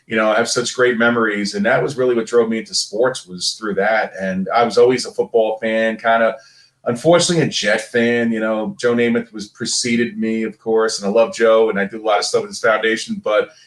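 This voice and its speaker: Speaking at a fairly quick pace with hardly any pauses, a man with a strong Brooklyn accent keeps a medium pitch and ordinary pitch variation. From Brooklyn, New York. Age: 50. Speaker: former pro athlete. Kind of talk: podcast interview.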